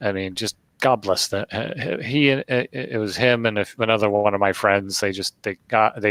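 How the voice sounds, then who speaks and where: With a bright, sharp tone and fairly low pitch, a man speaks with ordinary pitch variation. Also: dry, close sound with no echo. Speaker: gaming podcast host. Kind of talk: casual chat. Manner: halting, frequent self-corrections; rambling.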